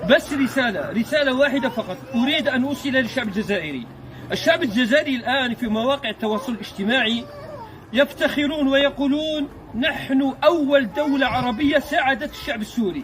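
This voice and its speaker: Extremely high-pitched for a man, this voice shows ordinary pitch variation at a moderate pace, with noticeable background noise. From Algeria, Mostaganem province. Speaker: video blogger. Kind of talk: on-location video address. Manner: animated; halting.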